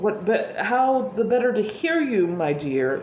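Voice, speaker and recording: Over clear background noise, a woman does a put-on character voice that is croaky and cackling, pitched fairly high with very wide swings, at a fairly slow pace. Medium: read story. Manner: falsely sweet.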